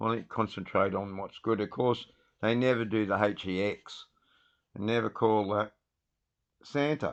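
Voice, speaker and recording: A man with a fairly low pitch speaks at a moderate pace, with ordinary pitch variation over a quiet background. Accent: Australian. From Australia. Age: 60s. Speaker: livestreamer. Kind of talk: casual live stream talk. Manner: animated.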